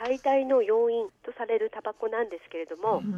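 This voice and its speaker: The voice has a dark, mellow tone and a moderate pace. The sound is dry and close with no echo, over a quiet background. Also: woman. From Aomori, Japan (Aomori city). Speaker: public health nurse. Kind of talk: radio interview. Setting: phone call.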